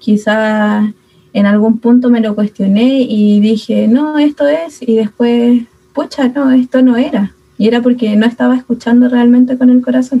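A woman with a Chilean accent, high-pitched, dark and mellow in tone, with fairly even intonation and very even loudness. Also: fairly slow pace. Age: 20s. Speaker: speech therapist and youth ministry member. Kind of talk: casual chat.

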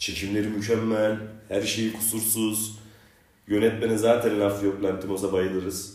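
A man talks fairly slowly with a fairly low pitch. His intonation is monotone and flat, and room echo is audible. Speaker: podcast host. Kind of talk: casual chat.

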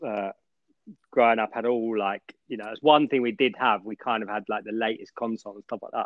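This man has an unremarkable speaking voice at medium pitch, with fairly even intonation and a fairly quick pace. His loudness swings widely. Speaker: podcast host. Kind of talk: casual chat. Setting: video call.

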